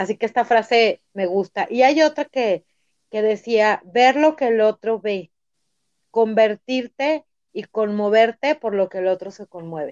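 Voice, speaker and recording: A woman talks at a fairly slow pace in a fairly high voice. Her pitch varies in an ordinary way. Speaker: lawyer and personal growth coach. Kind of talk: interview. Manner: halting, many repeated words.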